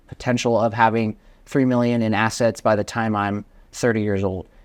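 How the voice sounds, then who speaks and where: A man with an American accent has an unremarkable speaking voice of medium pitch. He talks at a moderate pace with fairly even intonation against a quiet background. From Vermont, US Northeast. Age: 20s. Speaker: real estate investor. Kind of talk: podcast interview.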